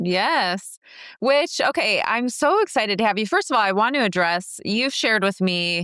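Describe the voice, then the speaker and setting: A woman's bright, sharp, fairly high voice with an American accent, lively intonation, very even loudness and a moderate pace, on a very clean recording with a silent background. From US Midwest, Minnesota. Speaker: podcast host, entrepreneur. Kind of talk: podcast interview.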